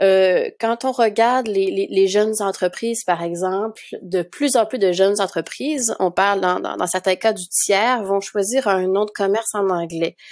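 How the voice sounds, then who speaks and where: Speaking at a fairly slow pace with hardly any pauses, a woman with a Quebec accent uses a medium pitch and ordinary pitch variation. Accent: Québécois French. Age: 30s. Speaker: documentary filmmaker. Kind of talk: interview.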